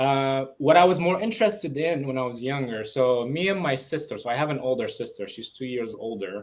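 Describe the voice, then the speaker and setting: A fairly high-pitched man at a fairly quick pace, with hardly any pauses. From Lebanon. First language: Arabic. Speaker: entrepreneur. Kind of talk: interview. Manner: halting.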